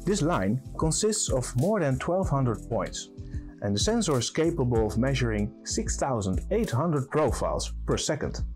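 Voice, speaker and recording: A man speaking at a moderate pace over faint background music. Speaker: presenter. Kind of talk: product presentation. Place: studio.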